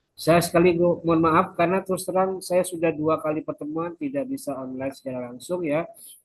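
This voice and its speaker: This man's voice sits high in pitch, with lively intonation. He barely pauses at all. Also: fairly quick pace. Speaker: university lecturer. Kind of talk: recorded lecture.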